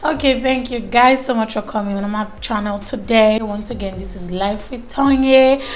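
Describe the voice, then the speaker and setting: Audible room echo and noticeable background noise accompany a woman talking at a moderate pace. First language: not English. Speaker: beauty vlogger. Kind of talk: casual chat. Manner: animated.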